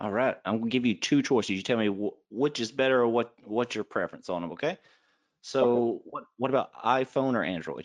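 A man with a plain, everyday voice and an American accent speaks at a medium pitch and fairly quick pace with ordinary pitch variation, over a quiet background. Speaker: podcast host. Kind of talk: casual interview chat.

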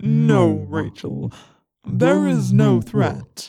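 The speaker uses a put-on character voice with a very deep, low pitch. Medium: audio drama. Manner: calm, serene, unhurried.

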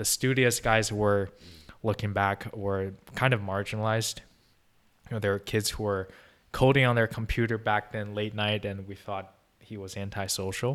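A man with a Chinese accent, fairly low pitch and monotone, flat intonation, with long, frequent pauses in a very clean recording over a silent background. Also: moderate pace. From China (Beijing). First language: Mandarin Chinese. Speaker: podcast guest, recent graduate. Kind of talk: casual interview chat.

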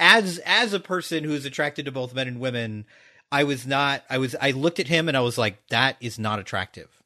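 A loud voice at a fairly quick pace with lively intonation, over a quiet background. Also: man, medium pitch for a man. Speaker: podcast host. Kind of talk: casual chat. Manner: animated.

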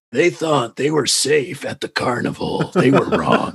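Putting on a character voice, a man speaks in a raspy, fairly high pitch with a dramatic tone, ordinary pitch variation and a moderate pace. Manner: authoritative, dramatic.

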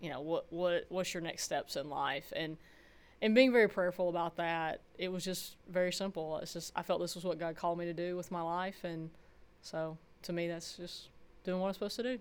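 A woman's fairly low voice in a Southern US accent on a very clean recording with a silent background. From rural Georgia, US South. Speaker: college softball head coach. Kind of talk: interview.

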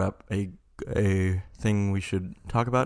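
A man with a fairly low pitch and monotone, flat intonation at a very slow pace, on a very clean recording with a silent background. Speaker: podcast co-host. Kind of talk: casual chat.

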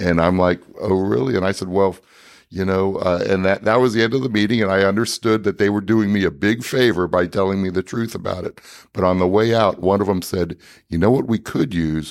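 The man's pitch is fairly low, with ordinary variation. He talks at a fairly quick pace. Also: very clean recording, silent background. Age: 60s. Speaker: inventor of a training device. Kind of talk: interview. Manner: halting, many fillers.

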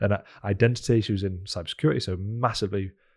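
Heard on a very clean recording with a silent background, a man's somewhat breathy voice keeps fairly even intonation. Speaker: podcast host. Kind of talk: casual interview chat.

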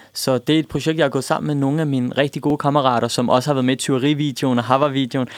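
Speaking at a very fast pace, a man holds a fairly high pitch with monotone, flat intonation. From Denmark. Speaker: pop musician. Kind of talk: radio interview. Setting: radio studio.

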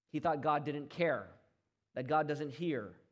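A fairly high-pitched man talks at a moderate pace, with audible echo from the room. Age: 40s. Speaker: pastor. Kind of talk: sermon.

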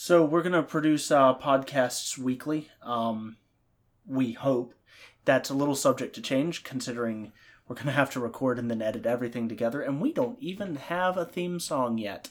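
In a very clean recording with a silent background, a man speaks in a normal speaking voice at a medium pitch and moderate pace, with ordinary pitch variation. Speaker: podcast co-host and producer. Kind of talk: casual chat. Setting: home recording setup.

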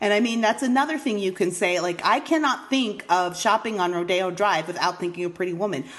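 Using a normal speaking voice, a woman talks at a medium pitch with lively intonation. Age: 40s. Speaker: podcast host. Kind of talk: casual chat.

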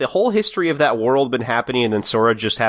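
Someone is doing plain reading aloud. Nothing more than reading the words out is heard.

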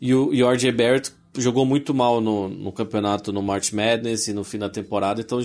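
A man with an unremarkable speaking voice talks in a medium pitch at a moderate pace. His intonation is fairly even, and the background is quiet. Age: 30s. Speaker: podcast co-host. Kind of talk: casual chat.

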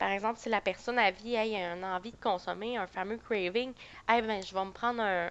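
Against a quiet background, a woman with an unremarkable speaking voice talks at a moderate pace, her pitch varying in an ordinary way. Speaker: psychoeducator. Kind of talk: casual chat.

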